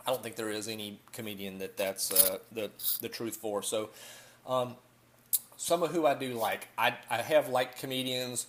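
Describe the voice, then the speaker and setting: A moderate pace, ordinary pitch variation, and a Southern US accent. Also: man, medium pitch for a man. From US South. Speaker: vlogger. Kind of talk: casual vlog monologue. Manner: halting, many fillers.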